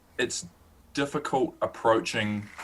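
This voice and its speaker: A man speaks with a New Zealand accent. His tone is bright and sharp, his pitch fairly low. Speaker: student sports journalist and podcast host. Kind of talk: interview, casual chat. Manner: slow, careful; hesitant, many fillers.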